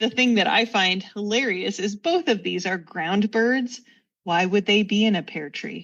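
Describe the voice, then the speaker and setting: This woman has an unremarkable speaking voice, set at a mid-range pitch with typical rise and fall, delivered rather slowly. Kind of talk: casual podcast interview answer. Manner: chatty, humorous.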